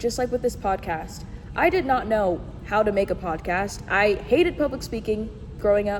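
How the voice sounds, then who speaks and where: A woman's medium-pitched voice with lively intonation, over noticeable background noise. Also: moderate pace. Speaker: podcast host. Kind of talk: solo podcast monologue. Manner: stuttering over words, halting.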